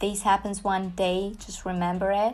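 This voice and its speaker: Audible room echo surrounds the voice. It belongs to a woman. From Georgia (country), Tbilisi. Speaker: music reaction youtuber, rapper. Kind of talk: reaction video commentary. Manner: hesitant, many fillers.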